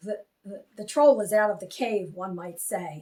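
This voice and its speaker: Using a put-on character voice, a woman speaks at a moderate pace with a raspy, medium-pitched delivery and big swings in loudness. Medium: read story. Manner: stern but gentle.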